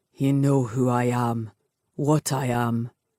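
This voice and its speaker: This is a put-on character voice, raspy and pitched low to middle. It moves at a fairly slow pace. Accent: Scottish. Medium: read story. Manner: gruff, brooding.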